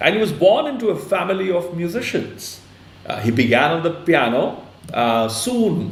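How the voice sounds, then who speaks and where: Through noticeable background noise and audible room echo, a man with a Punjabi accent speaks at a high pitch with very wide pitch swings. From India, Punjab. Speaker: online interview host. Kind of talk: interview introduction. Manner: halting, many fillers.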